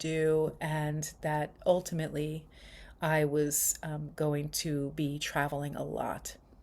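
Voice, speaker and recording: Recorded very cleanly against a silent background, a woman with an American accent speaks in a very deep, low pitch. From New York. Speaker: spiritual retreat leader. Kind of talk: casual vlog monologue. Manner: casual with many fillers.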